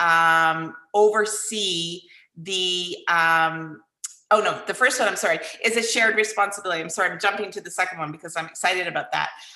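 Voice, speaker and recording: Audible room echo surrounds a woman's medium-pitched voice. Her tone is bright and sharp, with fairly even intonation. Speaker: consultant presenting plan to council. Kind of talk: presentation to city council. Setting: electronic meeting, live streamed.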